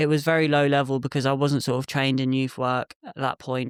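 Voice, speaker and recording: Speaking fairly quickly in an English accent, a man with a fairly high pitch holds a flat, monotone intonation, on a very clean, silent-background recording that sounds dry and close with no echo. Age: 20s. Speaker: youth worker and photographer. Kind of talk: podcast interview. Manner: hesitant, many fillers.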